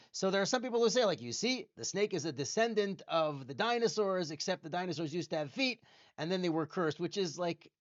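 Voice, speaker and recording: A fairly quick pace with hardly any pauses. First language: Hebrew. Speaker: museum educator and tour guide. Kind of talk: educational talk. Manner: casual, with fillers.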